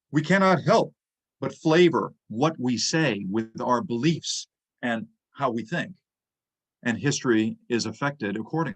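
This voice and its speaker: Using lively intonation, a man with an American accent and a medium-pitched voice speaks at a fairly slow pace with long, frequent pauses. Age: 60s. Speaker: history lecturer. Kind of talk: lecture.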